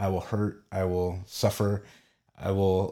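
On a very clean recording with a silent background, a man with an American accent speaks in a dark, mellow tone with flat, monotone intonation. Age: 40s. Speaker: artist. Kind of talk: testimony. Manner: halting.

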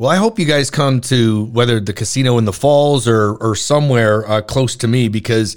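Here a man speaks at a medium pitch. His pace is moderate and his pitch varies in an ordinary way. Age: 50s. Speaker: radio host. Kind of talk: interview. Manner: animated.

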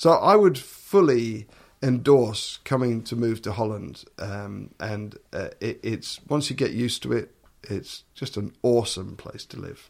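Someone with an English accent speaks at a fairly slow pace with ordinary pitch variation and big swings in loudness. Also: man, medium pitch for a man. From eastern England, Suffolk. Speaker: orchestral double bass player and TV personality. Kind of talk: interview.

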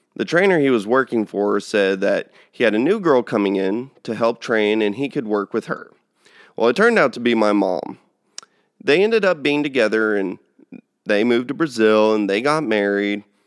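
In a Texan accent, a man of medium pitch talks at a moderate pace with ordinary pitch variation, on a very clean recording with a silent background. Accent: Texan American. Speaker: cattle rancher and podcast host. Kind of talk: casual monologue.

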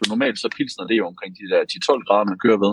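Here a man talks at a medium pitch. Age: 30s. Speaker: brewer and brewery co-owner. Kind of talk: casual chat. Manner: halting, many repeated words.

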